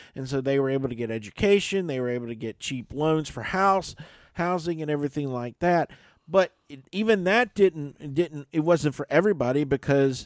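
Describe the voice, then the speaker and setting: Pitch swings very widely as a man speaks at a moderate pace. The recording is very clean and dry, close, with a silent background and no echo. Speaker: radio host. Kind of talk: casual chat. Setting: studio.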